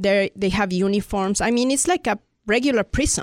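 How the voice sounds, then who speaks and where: The recording is very clean, with a silent background and a dry, close sound with no echo. Speech moves at a moderate pace with ordinary pitch variation. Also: woman. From Mexico City, Mexico. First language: Spanish. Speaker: immigrant rights activist. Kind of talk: casual interview.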